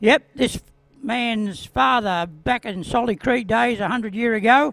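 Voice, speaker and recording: A high-pitched man with an Australian accent, at a fairly slow pace and with ordinary pitch variation. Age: 70s. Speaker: retired speedway rider. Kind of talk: interview.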